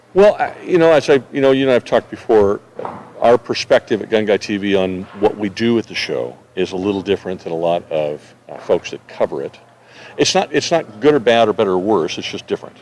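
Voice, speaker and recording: Noticeable background noise sits behind a man with an American accent. He talks at a fairly quick pace, and the sound is dry and close with no echo. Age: 60s. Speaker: gun media channel host. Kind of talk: interview. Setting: trade show press room.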